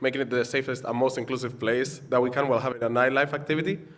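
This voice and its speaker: A man speaks at a medium pitch. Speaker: student union officer. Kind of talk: council meeting report. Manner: animated.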